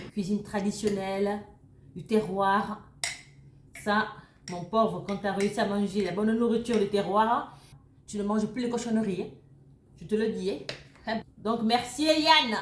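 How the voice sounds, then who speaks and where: At a fairly slow pace with long, frequent pauses, a woman speaks in an animated tone at a medium pitch with ordinary pitch variation. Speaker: YouTuber sharing recipes and beauty tips. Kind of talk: casual cooking tutorial. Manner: chatty, animated.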